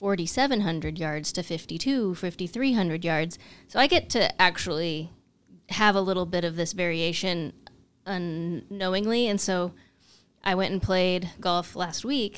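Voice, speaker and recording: A woman speaks at a medium pitch with ordinary pitch variation in an unremarkable speaking voice. The recording is very clean with a silent background. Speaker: co-host and amateur golfer. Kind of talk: casual chat.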